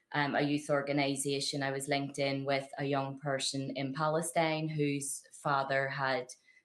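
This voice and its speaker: A woman with a strong Belfast accent, very deep and low in pitch, monotone and flat, at a moderate pace with hardly any pauses. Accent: thick Belfast. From Northern Ireland, Belfast. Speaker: activist. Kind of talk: interview testimony. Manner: halting, many fillers and repeats.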